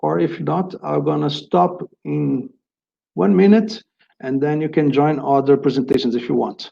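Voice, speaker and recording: A man speaks with a strong Brazilian accent at a fairly slow pace. He leaves long, frequent pauses. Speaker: agricultural inspection executive presenter. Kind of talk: webinar presentation. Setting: online webinar. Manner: halting, many fillers and repetitions.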